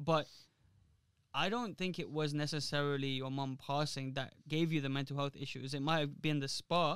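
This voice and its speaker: A man with an unremarkable speaking voice talks at a moderate pace and fairly high pitch, his intonation fairly even. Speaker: podcast host. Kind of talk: casual podcast talk.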